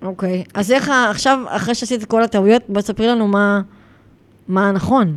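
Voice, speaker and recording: A woman's normal speaking voice at medium pitch, with ordinary pitch variation and a fairly quick pace. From Israel, Gaza border area. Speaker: podcast host and dog behavior trainer. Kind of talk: casual interview chat.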